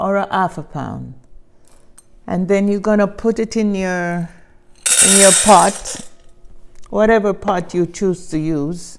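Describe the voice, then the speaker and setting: A woman with a Jamaican accent speaks at a very slow pace, her intonation fairly even. Long pauses come often. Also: medium pitch for a woman. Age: old. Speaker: home cook. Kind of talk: cooking demonstration.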